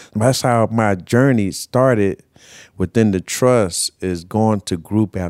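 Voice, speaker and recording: A man with an American accent speaks at a fairly slow pace in a fairly low pitch, using ordinary pitch variation and a normal speaking voice. The recording is very clean with a silent background and a dry, close sound with no echo. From Southern California, Carson. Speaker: formerly homeless person. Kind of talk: personal testimony.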